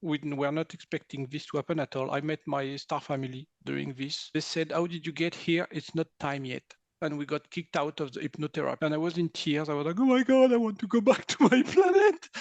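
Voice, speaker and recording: A man speaks at a fairly quick pace with hardly any pauses, his fairly high pitch carrying lively intonation in a dry, close sound with no echo against a quiet background. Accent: non-native. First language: not English. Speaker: energy healer. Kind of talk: interview.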